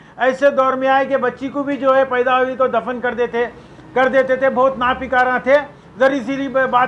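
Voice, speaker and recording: A man speaks with an extremely high pitch and monotone, flat intonation. Noticeable background noise runs underneath. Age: 60s. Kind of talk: public statement. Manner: impassioned.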